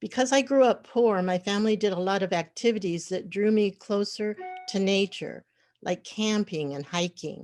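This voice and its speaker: The woman's voice sits at a medium pitch. Behind her, music can be heard. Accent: American. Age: 70s. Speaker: community activist. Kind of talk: personal testimony.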